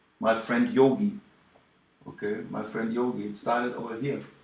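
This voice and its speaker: At a fairly slow pace, a man with a German accent speaks at a medium pitch, his voice making very wide pitch swings. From Germany. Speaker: ministry video maker. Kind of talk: video message. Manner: halting.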